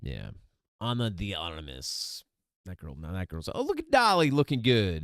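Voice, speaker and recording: A man mumbles in a fairly low voice with very wide pitch swings, the sound dry and close with no echo. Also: moderate pace. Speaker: news commentary streamer. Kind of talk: casual news commentary. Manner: mumbling. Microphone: testing new mic settings, worried about popping.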